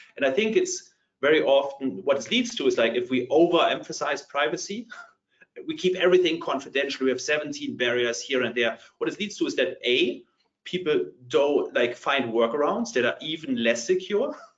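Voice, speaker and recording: A man's fairly quick delivery in a German accent. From Germany. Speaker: partner tech company leader. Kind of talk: panel discussion.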